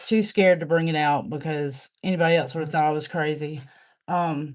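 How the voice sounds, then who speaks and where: Against a quiet background, a woman with a very deep, low voice speaks at a moderate pace with fairly even intonation. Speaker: livestreamer reading own poems. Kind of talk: casual livestream chat. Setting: live stream. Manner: halting.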